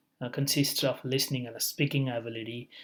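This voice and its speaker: With a non-native accent, a man speaks at a moderate pace and medium pitch in a monotone, flat intonation, on a very clean recording with a silent background. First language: not English. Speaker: education vlogger. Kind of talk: tutorial. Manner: halting, many fillers.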